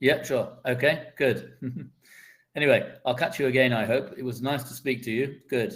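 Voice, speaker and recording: In an English accent, a somewhat breathy man of medium pitch talks at a moderate pace with ordinary pitch variation and big swings in loudness, on a very clean recording with a silent background. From England. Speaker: online English tutor. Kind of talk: casual chat. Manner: stuttering.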